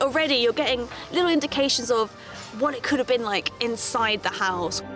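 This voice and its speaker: A woman speaks at a moderate pace with lively intonation. There is music in the background. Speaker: archaeologist and TV presenter. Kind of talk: TV documentary presenting.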